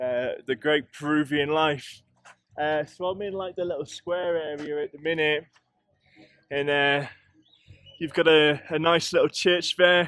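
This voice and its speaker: Speaking fairly slowly with an English accent, a man uses a fairly high pitch, fairly even intonation, and long, frequent pauses. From England. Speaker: travel vlogger. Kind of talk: vlog narration while walking. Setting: outdoors. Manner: casual, hesitant with fillers.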